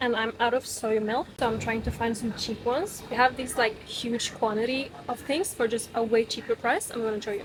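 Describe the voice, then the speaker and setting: A woman with a fairly high pitch talks at a moderate pace, hardly pausing. Noticeable background noise is present. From Norway. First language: Norwegian. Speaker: vlogger. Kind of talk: casual vlog narration.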